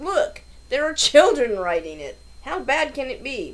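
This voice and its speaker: A high-pitched, put-on character voice moves at a moderate pace over light background noise. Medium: read story. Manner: earnest, deadpan, formal.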